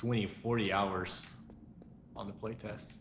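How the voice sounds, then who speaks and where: The speaker has a non-native accent. Audible room echo fills the recording. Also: man. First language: not English. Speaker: game studio CEO streaming gameplay. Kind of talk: live gameplay stream. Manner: animated.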